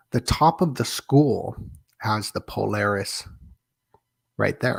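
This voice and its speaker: A man speaks quietly at a fairly slow pace with a medium pitch. The recording is very clean, with a silent background. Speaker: livestream conspiracy-theory host. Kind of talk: live stream monologue. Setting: apartment at night, live stream. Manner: keeping voice down, trying to be quieter.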